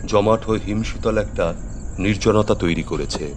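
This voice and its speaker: With music playing in the background, a man speaks at a fairly low pitch and with ordinary pitch variation. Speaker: storyteller / radio drama narrator. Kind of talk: horror story narration (radio drama).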